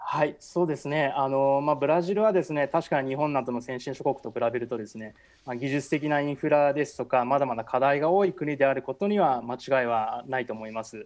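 A normal speaking voice from a man, fairly high in pitch, fairly quick with hardly any pauses and ordinary pitch variation. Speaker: architecture producer, foreign correspondent. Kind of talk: radio interview.

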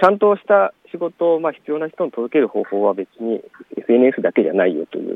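A man's fairly high voice with very wide pitch swings and big swings in loudness. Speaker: farmer and author. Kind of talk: casual interview. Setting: outdoors in a plum orchard.

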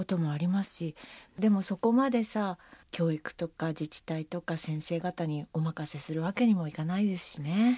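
A woman's voice sits at a fairly low pitch with a dark, mellow tone and ordinary pitch variation. The recording is dry and close, without echo. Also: moderate pace, very clean recording, silent background. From Japan, rural Akita. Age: 50s. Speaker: freelance announcer. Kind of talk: casual chat. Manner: refined, upper-class way of speaking.

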